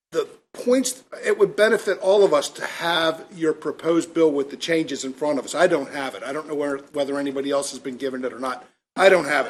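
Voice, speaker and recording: The man has an unremarkable speaking voice with a fairly high pitch and lively intonation. He talks at a fairly quick pace, his loudness swinging widely. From Maryland, Elkton area. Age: 60s. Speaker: state legislator. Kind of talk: committee remarks.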